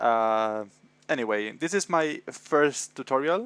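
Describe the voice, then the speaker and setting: Talking at a very slow pace, a man speaks with a Spanish accent. The sound is dry and close with no echo, on a very clean recording with a silent background. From Spain, Madrid. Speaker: visual effects tutor. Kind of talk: tutorial. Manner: hesitant, many fillers.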